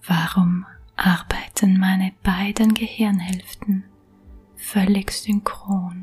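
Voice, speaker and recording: A soft-spoken voice at a very slow pace, with music in the background. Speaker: self-help coach. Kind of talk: guided affirmation recording.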